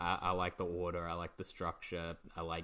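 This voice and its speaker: Against a quiet background, a man with an Australian accent speaks in a very deep, low pitch, his tone bright and sharp and his intonation flat and monotone. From England, moved to Australia as a child. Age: 30s. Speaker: comedian and podcast host. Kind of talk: casual chat.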